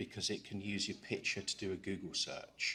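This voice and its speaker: A man with an English accent speaks at a fairly quick pace. The recording is very clean, with a silent background. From England. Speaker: cybersecurity conference speaker. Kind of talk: conference talk.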